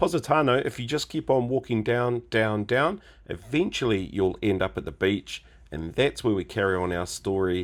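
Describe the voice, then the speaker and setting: With lively intonation and a fairly low pitch, a man talks at a moderate pace in a normal speaking voice. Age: 50s. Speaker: travel vlogger. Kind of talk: travel vlog narration.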